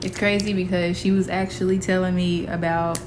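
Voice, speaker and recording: Amid noticeable background noise, a woman talks at medium pitch with ordinary pitch variation. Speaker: poet. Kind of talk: casual talk to camera. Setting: outdoors.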